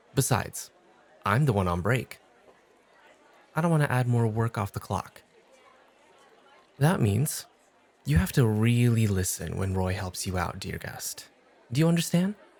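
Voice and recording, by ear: Putting on a character voice, a man speaks fairly slowly at a fairly low pitch with vocal fry, big pitch swings and long, frequent pauses, while faint crowd noise sits in the background. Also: slightly mellow tone.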